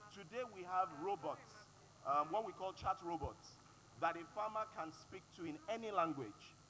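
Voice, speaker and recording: A man with a Yoruba accent has a bright, sharp tone and a high pitch, moving at a moderate pace with ordinary pitch variation. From Nigeria (Yoruba). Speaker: panelist. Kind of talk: panel discussion.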